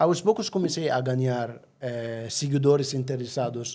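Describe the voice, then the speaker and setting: At a fairly slow pace, a man with a medium pitch speaks in a dark, mellow tone. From Egypt. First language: Arabic (speaking Portuguese). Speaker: travel agency owner. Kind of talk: podcast interview. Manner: halting.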